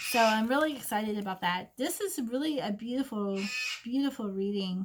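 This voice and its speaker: Noticeable background noise sits behind a woman talking at a fairly quick pace, her fairly high pitch carrying lively intonation. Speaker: psychic reader. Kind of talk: oracle card reading. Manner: gentle and maternal.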